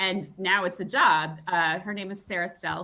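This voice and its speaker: With a bright, sharp tone and an American accent, a woman speaks fairly slowly at a medium pitch. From US East Coast, Long Island. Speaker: novelist. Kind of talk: interview. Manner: casual, with many fillers.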